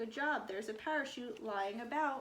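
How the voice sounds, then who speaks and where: The speaker uses a put-on character voice. The delivery keeps a moderate pace. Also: female-sounding voice. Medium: read story.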